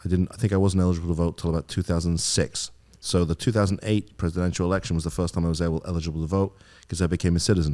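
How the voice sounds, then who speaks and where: This man has an English accent and a very deep, low, dark and mellow voice. He talks at a very fast pace with fairly even intonation. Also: very clean recording, silent background. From England. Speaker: attorney. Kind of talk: podcast interview.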